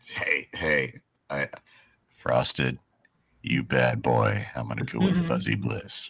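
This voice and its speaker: A man puts on a raspy character voice with a very deep, low pitch. He goes at a fairly slow pace with long, frequent pauses. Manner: smooth, sultry, suggestive.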